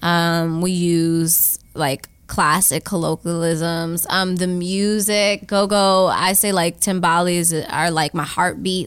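A woman with an American accent speaks in an ordinary speaking voice, her fairly low pitch showing ordinary pitch variation. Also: very clean recording, silent background. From Washington, D.C. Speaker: artist and storyteller. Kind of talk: interview.

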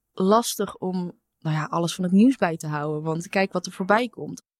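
A woman's medium-pitched voice, an ordinary speaking voice, fairly slow, with ordinary pitch variation and a dry, close sound with no echo. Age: 20s. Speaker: intern. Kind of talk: casual chat.

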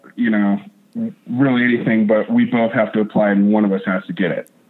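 Using a plain, everyday voice, a man with an American accent speaks at a fairly quick pace and medium pitch with ordinary pitch variation. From North Idaho. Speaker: whitewater park wave shaper. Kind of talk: interview.

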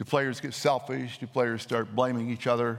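Here a man talks at a medium pitch. The recording is very clean, the background silent. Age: 60s. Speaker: pastor. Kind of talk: sermon.

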